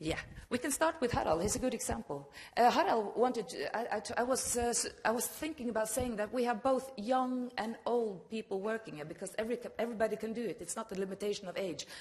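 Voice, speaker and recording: Talking at a very fast pace, a woman uses a fairly high pitch with ordinary pitch variation over noticeable background noise. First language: Norwegian. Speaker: regional broadcast manager. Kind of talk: conference presentation.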